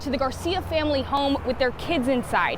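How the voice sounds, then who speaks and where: With music in the background, a woman speaks fairly quickly at a high pitch. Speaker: news reporter and anchor. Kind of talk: TV news package voiceover and live shots.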